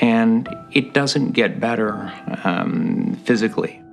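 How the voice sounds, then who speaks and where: The voice runs in a monotone, flat intonation with music in the background. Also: man. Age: 60s. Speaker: retired caregiver of elderly mother. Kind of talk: documentary interview.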